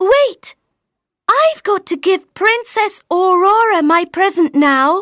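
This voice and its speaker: A squeaky, put-on character voice speaks at a fairly slow pace in a very clean recording with a silent background. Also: woman, extremely high pitch for a woman. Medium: read story.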